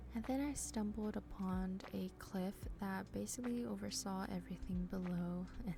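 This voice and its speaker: The woman talks at a moderate pace, and audible room echo surrounds her voice. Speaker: gaming youtuber. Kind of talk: gameplay commentary. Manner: hesitant, many fillers.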